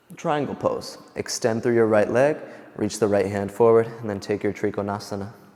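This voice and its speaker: A man with a fairly low pitch talks at a moderate pace with fairly even intonation. Noticeable background noise runs underneath. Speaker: yoga instructor. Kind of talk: guided yoga class.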